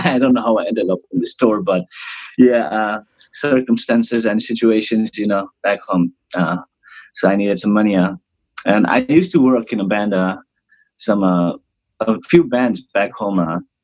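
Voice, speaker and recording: A man with a Nepali accent, fairly low in pitch, moderate in pace, ordinary pitch variation, with long, frequent pauses. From northern India, near Nepal. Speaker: cruise ship band singer. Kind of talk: casual interview. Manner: hesitant, many fillers. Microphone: unstable Wi-Fi connection.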